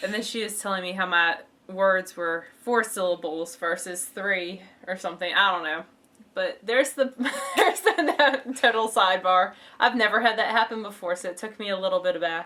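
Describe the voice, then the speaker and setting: A woman with a Southern accent speaks at a moderate pace and medium pitch. Her pitch varies in an ordinary way against noticeable background noise. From western New York. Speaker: knitting podcast co-host. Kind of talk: casual chat. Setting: home recording.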